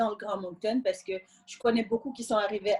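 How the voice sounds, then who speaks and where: Using fairly even intonation, a woman with a Senegalese accent speaks at a fairly high pitch. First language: Wolof (speaking French). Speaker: immigrant sharing her experience. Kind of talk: interview testimony.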